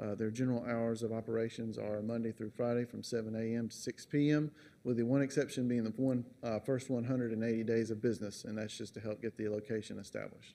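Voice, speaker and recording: The tone is dark and mellow, with monotone, flat intonation. The pace is fairly quick. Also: man, medium pitch for a man. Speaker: engineering consultant; presenter. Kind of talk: formal presentation. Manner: formal. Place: hall. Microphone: podium.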